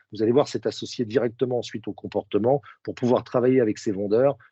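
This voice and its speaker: His voice sits at a medium pitch with ordinary pitch variation. The man speaks at a fairly quick pace. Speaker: sales trainer. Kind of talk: webinar presentation. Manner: fast.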